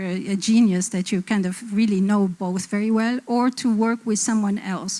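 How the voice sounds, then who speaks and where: A woman speaks at a moderate pace with an Arabic accent. Her tone is dark and mellow, her pitch medium, and her intonation fairly even. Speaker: design publisher and panelist. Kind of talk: panel discussion.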